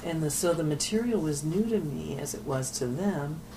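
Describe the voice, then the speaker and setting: Amid noticeable background noise and audible room echo, a woman talks at a fairly slow pace in a very deep, low voice. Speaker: nun and addiction counselor. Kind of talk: oral history interview. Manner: halting.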